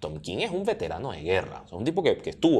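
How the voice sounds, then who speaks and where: A man with a Venezuelan accent at a very fast pace. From Venezuela, Charallave. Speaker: comics enthusiast guest. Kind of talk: casual conversation.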